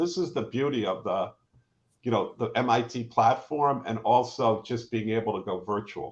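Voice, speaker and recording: A somewhat breathy man at a moderate pace. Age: 60s. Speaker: professor and entrepreneur. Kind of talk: live panel conversation. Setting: live online stream.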